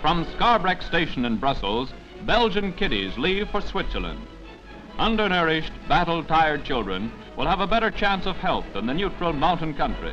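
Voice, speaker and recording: Over music in the background, a man with a fairly high pitch speaks at a moderate pace in an upbeat tone, his pitch swinging very widely. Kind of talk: newsreel narration. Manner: brisk, upbeat.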